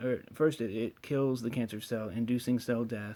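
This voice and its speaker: A man speaks at a medium pitch with a dark, mellow tone and flat, monotone intonation. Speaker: cannabis science explainer. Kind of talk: screen-share explainer. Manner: fast.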